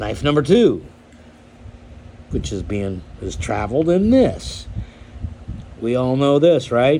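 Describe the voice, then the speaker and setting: With audible room echo, a man talks at a very slow pace with long, frequent pauses. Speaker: knife collector YouTuber. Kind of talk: casual show-and-tell vlog. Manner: hesitant, many fillers.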